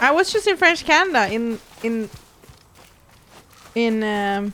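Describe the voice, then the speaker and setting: A woman with a fairly high pitch talks at a fairly slow pace with very wide pitch swings. Noticeable background noise runs underneath. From Sweden. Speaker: gaming streamer. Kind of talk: casual chat. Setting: live stream.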